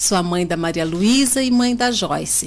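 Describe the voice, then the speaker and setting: A woman speaks with lively intonation. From Brazil, São Paulo state (Botucatu). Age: 40s. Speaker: local politician, mayoral candidate. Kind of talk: radio interview.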